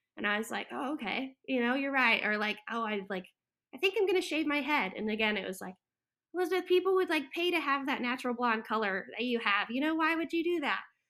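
A woman with an American accent speaks in a raised, projected voice at a high pitch and a very fast pace. Her bright, sharp tone swings very widely in pitch. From Florida. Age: 20s. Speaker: florist and landscaper. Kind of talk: casual interview. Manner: halting, many fillers.

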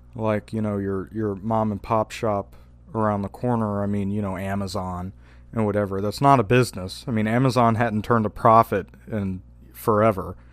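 A man with a Louisiana accent, fairly low in pitch, his intonation monotone and flat. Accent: Louisiana Southern US. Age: 20s. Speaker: podcaster. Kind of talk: casual chat.

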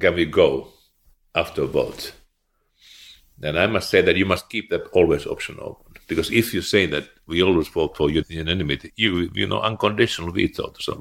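A man with a Finnish accent on a very clean recording with a silent background. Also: fairly quick pace. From eastern Finland. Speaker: former finance minister and central banker. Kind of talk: interview.

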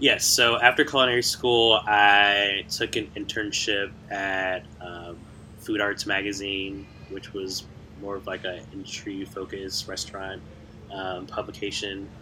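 A man with an American accent speaks at a fairly slow pace and fairly low pitch, his intonation monotone and flat. His tone is bright and sharp, and his loudness swings widely. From US Midwest, Chicago. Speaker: food writer. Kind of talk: casual interview.

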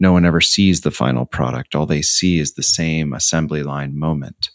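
This man talks at a moderate pace. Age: 40s. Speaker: philosophy professor and author. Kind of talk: interview.

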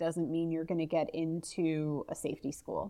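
In a plain, everyday voice with an American accent, the speaker talks at a moderate pace against a quiet background. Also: woman. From US, northeast Ohio. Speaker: customer success manager. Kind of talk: casual interview.

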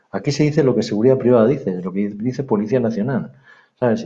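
With a Castilian accent, a man speaks at a fairly quick pace in a dark, mellow tone. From northern Spain, Palencia. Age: 50s. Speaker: private security director. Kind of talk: interview. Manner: halting.

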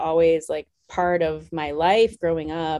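A woman speaks with an American accent. Her fairly low voice has a dark, mellow tone. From US Midwest, small-town Wisconsin. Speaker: anthropologist and author. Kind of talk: interview.

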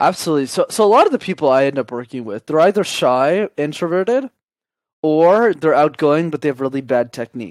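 A normal speaking voice with a Canadian accent and lively intonation moves at a fairly quick pace, its dry, close sound free of echo in a very clean recording with a silent background. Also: man. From Canada, Montreal. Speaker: communication coach. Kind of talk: interview.

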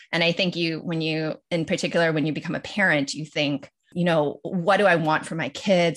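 Speaking with an American accent, a woman with a fairly low pitch talks at a moderate pace. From Los Angeles, US. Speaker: lawyer and podcast co-host. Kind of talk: casual interview chat.

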